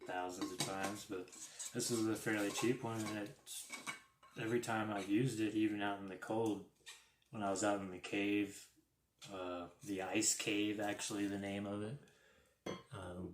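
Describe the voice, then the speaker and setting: A man speaks quietly at a fairly low pitch with fairly even intonation. He leaves long, frequent pauses. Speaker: RC hobby YouTuber. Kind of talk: live stream unboxing. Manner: quiet, keeping voice down.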